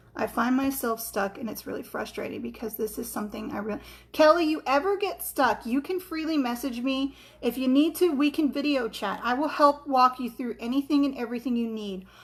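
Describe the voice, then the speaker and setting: Over noticeable background noise, a woman talks at a fairly quick pace, high-pitched, with ordinary pitch variation. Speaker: crafting tutorial host. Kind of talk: livestream tutorial. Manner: halting, tongue-tied.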